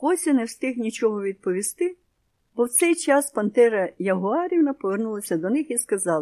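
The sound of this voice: The reading is unforced. Nothing much stirs in the background.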